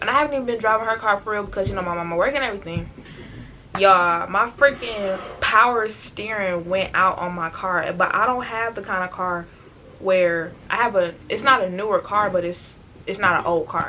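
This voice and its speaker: Over noticeable background noise, a woman talks at a medium pitch and a fairly quick pace. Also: ordinary pitch variation. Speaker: vlogger. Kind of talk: casual vlog talk to camera. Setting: bedroom at home. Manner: loud.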